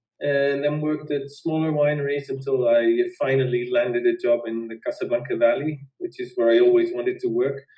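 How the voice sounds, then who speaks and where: A man with a Dutch accent, fairly high in pitch, fairly quick, with hardly any pauses. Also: fairly even intonation. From Netherlands. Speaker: winemaker. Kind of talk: interview.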